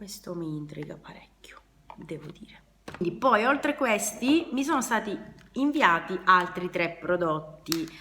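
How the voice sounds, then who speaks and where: A woman speaks at a fairly slow pace. Her pitch swings very widely and her loudness rises and falls in big swings. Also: medium pitch for a woman. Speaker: beauty and DIY youtuber. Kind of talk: product unboxing review. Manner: casual, hesitant with fillers.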